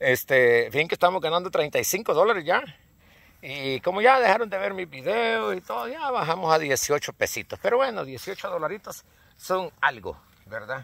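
A man with a high voice talks at a fairly slow pace, his pitch swinging very widely, in a dry recording with no echo. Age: 50s. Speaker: hunting vlogger; hunter vlogger. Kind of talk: casual vlog; casual vlog chat. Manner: halting. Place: open country. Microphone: phone near.

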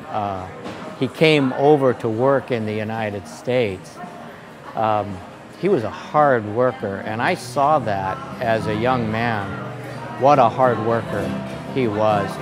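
A man at a very slow pace, with ordinary pitch variation and clear music in the background. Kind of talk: interview answer. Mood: warm, proud, reflective. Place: cafe. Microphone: lapel.

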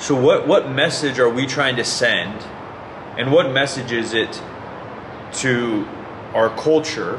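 Amid noticeable background noise, a man speaks very slowly with long, frequent pauses and ordinary pitch variation. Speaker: fitness YouTuber. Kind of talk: angry rant, passionate monologue calling out fraud in fitness. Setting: online video, solo to camera. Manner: earnest, indignant, impassioned; direct, talks straight to viewers.

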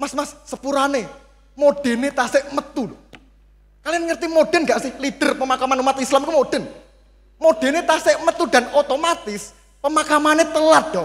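A man talks at a fairly quick pace in an extremely high pitch, with big swings in loudness. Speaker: stand-up comedian (competitor). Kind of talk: stand-up comedy. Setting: stage with audience. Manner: animated, playful. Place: stage. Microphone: handheld.

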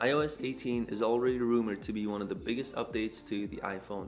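With music in the background, a man of medium pitch speaks at a very fast pace with ordinary pitch variation. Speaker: tech YouTuber. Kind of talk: tech news video narration.

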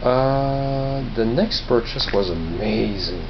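Light background noise sits behind a man's voice. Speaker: vlogger showing flea market finds. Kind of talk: casual vlog chat. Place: home room. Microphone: phone near.

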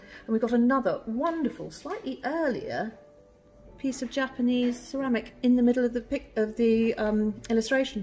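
Music plays behind the speaker. She is a woman. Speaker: auctioneer and valuer. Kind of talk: presenting auction lots to camera. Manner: enthusiastic. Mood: warm, enthusiastic. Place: shop.

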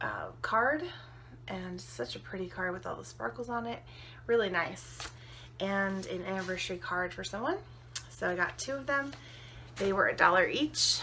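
Talking at a moderate pace with long, frequent pauses, a woman is heard over light background noise. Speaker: haul vlogger. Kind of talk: casual vlog chat. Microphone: phone near.

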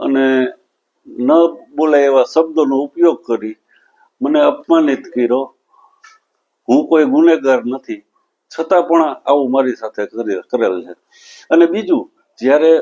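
In a normal speaking voice, this man's pitch sits fairly high and varies in an ordinary way. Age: 60s. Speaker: senior citizen complainant. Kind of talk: news interview statement.

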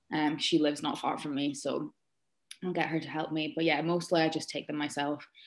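In an Aberdeen accent, the speaker goes at a fairly quick pace with monotone, flat intonation over a very clean recording with a silent background. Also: woman, very deep, low pitch for a woman. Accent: Scottish (Aberdeen). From Scotland, Aberdeen. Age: 20s. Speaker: social media influencer. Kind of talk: casual chat.

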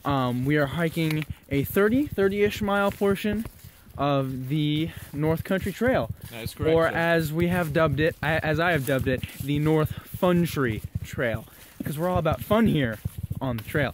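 A man speaks at a fairly slow pace with lively intonation, his voice dry with no echo over noticeable background noise. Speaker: hiking vlogger. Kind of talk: casual vlog chat. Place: forest. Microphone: phone near.

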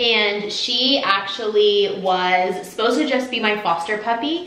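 A woman speaks at a fairly slow pace. Audible echo fills the room. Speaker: lifestyle vlogger. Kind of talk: casual vlog chat. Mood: warm, affectionate. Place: home room. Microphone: camera far.

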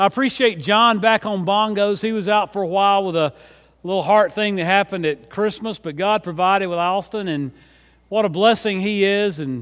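Speaking at a fairly quick pace against a quiet background, a man talks in a high pitch. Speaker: senior pastor. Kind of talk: sermon announcements, casual address. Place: church.

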